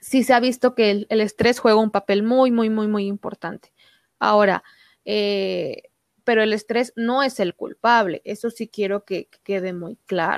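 A woman in a plain, everyday voice of fairly high pitch, fairly even intonation and a fairly slow pace, with a very clean recording, silent background and a dry, close sound with no echo. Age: 20s. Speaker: doctor. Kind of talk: interview.

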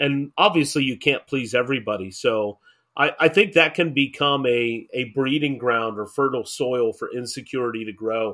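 The clip has an unremarkable speaking voice with ordinary pitch variation. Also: man. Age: 40s. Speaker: pastor and podcast host. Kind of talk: casual chat.

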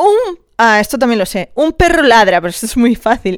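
A woman sounds animated, with a fairly high pitch and very wide pitch swings. She talks at a fairly slow pace. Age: 30s. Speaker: podcast host. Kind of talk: casual chat.

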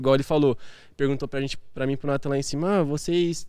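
A very fast-paced man with a fairly high pitch. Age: 20s. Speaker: physiotherapy student and salesman. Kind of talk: casual chat.

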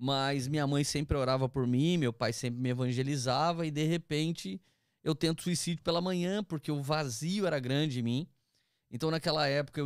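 A man with an ordinary speaking voice talks at a moderate pace, his pitch fairly high with ordinary pitch variation. The recording is very clean with a silent background and a dry, close sound with no echo. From interior of São Paulo state, Brazil (Taubaté/Tremembé). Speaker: pastor. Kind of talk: casual chat, testimony.

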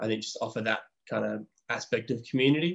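In an Australian accent, a man talks at a moderate pace, the sound dry and close with no echo. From Perth, Western Australia. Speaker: physiotherapist and assistant coach. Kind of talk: casual interview.

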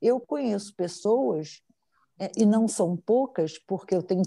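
A dark, mellow tone carries this voice through very wide swings in pitch. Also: woman. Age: 50s. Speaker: psychologist and psychoanalyst. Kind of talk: interview.

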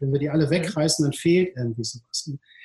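Somewhat breathy, a man talks at a very fast pace with a fairly high pitch. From Ruhr area, Duisburg-Rheinhausen. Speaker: entrepreneur, city beach operator. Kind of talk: casual interview. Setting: video call. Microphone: poor sound quality.

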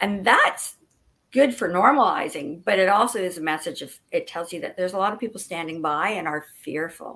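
A woman's bright, sharp voice at medium pitch with a Canadian accent, lively intonation, a fairly quick pace and big swings in loudness. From Ottawa, Canada. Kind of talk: casual interview chat.

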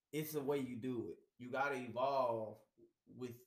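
With an American accent, a man speaks at a medium pitch amid audible room echo. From Houston, Texas. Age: 40s. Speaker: podcast co-host. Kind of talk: casual chat.

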